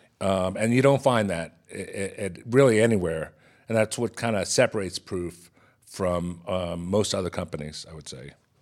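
Heard in a very clean recording with a silent background, a man with an American accent and an unremarkable speaking voice talks at a moderate pace, his pitch fairly low with ordinary variation and big swings in loudness. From Texas. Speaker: chef. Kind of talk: interview.

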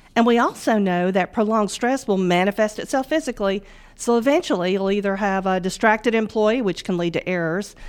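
In a very clean recording with a silent background, a woman with a Southern US accent talks at a fairly quick pace, her medium pitch showing ordinary variation. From US South, northwest Mississippi. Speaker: bank financial wellness manager. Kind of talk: business podcast interview. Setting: studio.

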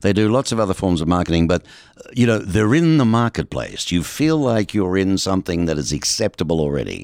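This is a man with a plain, everyday voice. He talks at a fairly quick pace with a fairly low pitch. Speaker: radio host. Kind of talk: interview. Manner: friendly, teasing.

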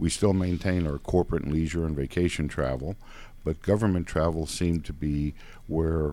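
A man speaks at a very deep, low pitch with a dark, mellow tone and fairly even intonation. The recording is very clean, with a silent background. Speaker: travel agency owner. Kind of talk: interview.

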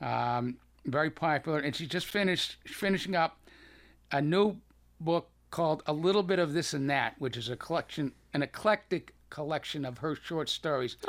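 A man with a slight Boston accent, fairly high pitch and ordinary pitch variation, on a very clean recording with a silent background. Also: moderate pace. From Boston, US. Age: 70s. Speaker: cancer survivor and author. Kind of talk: casual radio interview.

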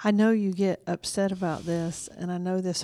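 A Southern US accent in a very clean recording with a silent background. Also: woman. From Georgia, US South. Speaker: private investigator and show host. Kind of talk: interview.

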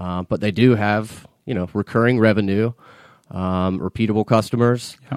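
A man with an American accent and a plain, everyday voice, fairly low in pitch, with fairly even intonation at a moderate pace, on a very clean recording with a silent background and a dry, close sound with no echo. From US South, Atlanta area (Marietta, Georgia). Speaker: financial consultant. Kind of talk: interview. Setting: studio.

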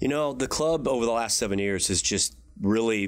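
A man's ordinary speaking voice, moderate in pace and ordinary in pitch variation, on a very clean recording with a silent background. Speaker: golf club director. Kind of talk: interview.

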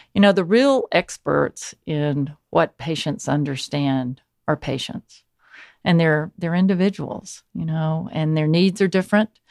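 A woman with an American accent and a plain, everyday voice, fairly low in pitch with ordinary pitch variation, at a fairly slow pace, in a dry, close sound with no echo and a very clean recording with a silent background. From US South, Georgia (small town). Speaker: physician and medical professor. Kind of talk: interview. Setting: studio.

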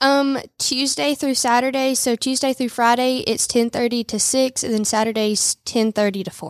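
In a dry, close recording with no echo, a woman with a high pitch and a Southern US accent talks with hardly any pauses and ordinary pitch variation. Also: moderate pace. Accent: Southern US (Georgia). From US South, Rome, Georgia. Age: 20s. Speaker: boutique owner. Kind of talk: radio interview. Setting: studio.

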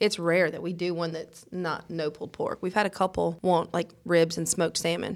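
In a Mississippi accent, the speaker talks at a moderate pace with monotone, flat intonation, vocal fry and hardly any pauses. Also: woman, fairly low pitch for a woman. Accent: US South, Mississippi. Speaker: restaurant owner. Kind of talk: casual chat. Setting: studio.

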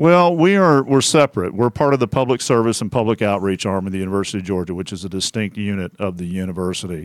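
A man with an American accent, fairly low-pitched, talking at a very fast pace with hardly any pauses and lively intonation. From Central Texas (Temple). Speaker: small business advisor. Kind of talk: interview. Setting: radio studio.

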